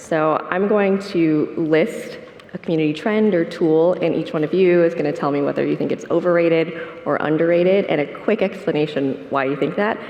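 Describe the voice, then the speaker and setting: A soft-spoken woman with a fairly low pitch and ordinary pitch variation, amid noticeable background noise and audible room echo. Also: moderate pace. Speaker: panel moderator. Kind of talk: conference panel moderation. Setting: conference stage with audience.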